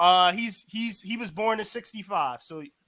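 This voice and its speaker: Raised, projected male voice, bright and sharp in tone. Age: 20s. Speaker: caller. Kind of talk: heated debate. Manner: halting.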